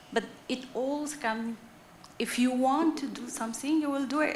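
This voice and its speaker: With a non-native accent, a woman talks at high pitch in fairly even intonation, with audible room echo and noticeable background noise. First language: not English. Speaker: audience member at a conference. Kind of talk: conference Q&A answer. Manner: deliberate, clear; hesitant.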